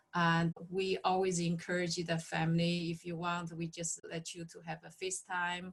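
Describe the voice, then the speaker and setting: With a non-native accent, a woman speaks in a somewhat breathy, monotone, flat way at a moderate pace with hardly any pauses. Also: fairly low pitch for a woman. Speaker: nurse practitioner in long-term care. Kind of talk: interview. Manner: halting.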